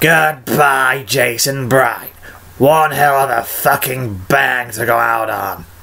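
A man speaks very slowly in a put-on character voice at a medium pitch. His tone is gravelly and raspy. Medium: voice reel. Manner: anguished, then bitter and vengeful.

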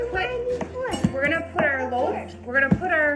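Over loud background music, a woman talks at a moderate pace. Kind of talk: casual cooking tutorial. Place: kitchen. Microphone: phone near.

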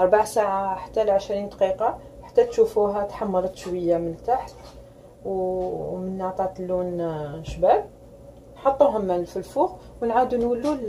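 A woman talks fairly slowly, her pitch rising and falling in an ordinary way, with a little noise behind her. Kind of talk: tutorial. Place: kitchen. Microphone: phone near.

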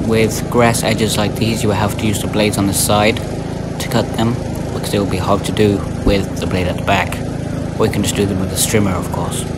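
A man speaks at a fairly quick pace while loud noise fills the background. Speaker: owner reviewing mower. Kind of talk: casual review commentary. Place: farm machine. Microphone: phone near.

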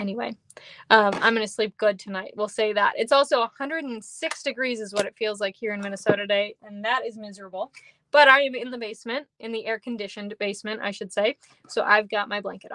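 A woman speaking very fast at a fairly high pitch, with fairly even intonation and big swings in loudness, recorded dry with no echo against a quiet background. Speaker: craft demonstrator. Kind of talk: live tutorial. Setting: home basement livestream. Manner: casual, chatty. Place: home room.

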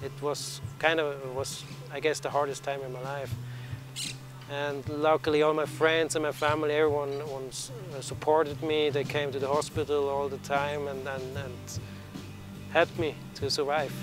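A man at a moderate pace in a monotone, flat delivery, with long, frequent pauses, a dry sound with no echo, and clear music in the background. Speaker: interviewee. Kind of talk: interview answer. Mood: reflective, calm. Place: open country.

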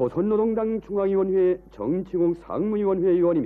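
With a solemn tone, a high-pitched man speaks at a fairly slow pace using fairly even intonation. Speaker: state TV newsreader. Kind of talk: state TV news announcement, solemn funeral report. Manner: solemn, formal, slow.

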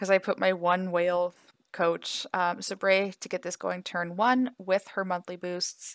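A quiet woman at a medium pitch, with fairly even intonation and a fairly slow pace, in a dry, close sound with no echo on a very clean recording with a silent background. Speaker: mobile gaming content creator. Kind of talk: gameplay commentary. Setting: home apartment at night.

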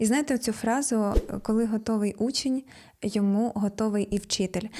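A woman's fairly high, dark and mellow voice, somewhat breathy, at a moderate pace with fairly even intonation, in a very clean recording over a silent background. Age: 30s. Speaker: self-development blogger. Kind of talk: vlog monologue.

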